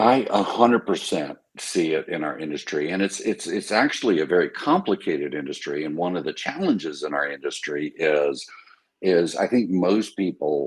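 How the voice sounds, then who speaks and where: A man with an American accent, a very deep, low pitch, lively intonation and a moderate pace. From US, military family moving every two years. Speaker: company executive, former Navy officer. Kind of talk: podcast interview. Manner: loud.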